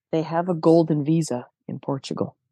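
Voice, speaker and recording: A woman with a Canadian accent, a fairly low pitch and a dark, mellow tone, in a dry, close sound with no echo over a quiet background. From Canada. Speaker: documentary filmmaker. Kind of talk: casual chat.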